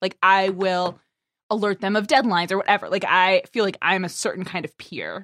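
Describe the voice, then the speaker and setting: This woman has an ordinary speaking voice at medium pitch and a moderate pace, captured in a dry, close sound with no echo on a very clean recording with a silent background. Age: 30s. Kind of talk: casual chat.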